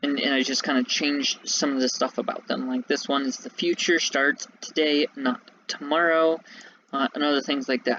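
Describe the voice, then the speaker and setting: The speech goes at a fairly quick pace amid noticeable background noise. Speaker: gaming youtuber. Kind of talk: gameplay walkthrough commentary. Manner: casual, hesitant with fillers.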